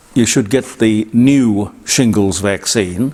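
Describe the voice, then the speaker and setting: A man's voice amid noticeable background noise. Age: 80s+. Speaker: broadcaster and commentator. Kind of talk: casual commentary. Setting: studio. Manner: halting.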